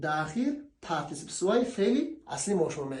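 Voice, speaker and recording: In an Afghan accent, a man talks at a moderate pace with very wide pitch swings and audible room echo. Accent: Afghan Dari (Kabuli) Persian. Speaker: language teacher. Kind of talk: tutorial. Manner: casual.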